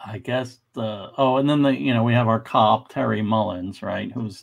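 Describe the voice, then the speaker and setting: The man talks at a fairly slow pace. His pitch varies in an ordinary way, and the background is quiet. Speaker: panelist. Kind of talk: casual discussion commentary. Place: home room. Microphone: video call.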